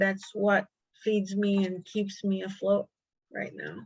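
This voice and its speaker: The pace is very slow. This woman's voice carries a somewhat breathy quality. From United States. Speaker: deported adoptee. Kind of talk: interview testimony.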